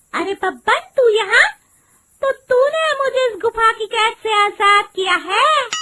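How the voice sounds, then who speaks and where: A female-sounding cartoonish character voice speaks at an extremely high pitch. The pace is fairly slow. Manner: proud, boastful.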